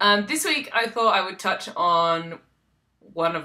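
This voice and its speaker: Her tone bright and sharp, a woman speaks at a fairly low pitch. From South Australia. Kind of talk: casual vlog talk. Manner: hesitant, many ums.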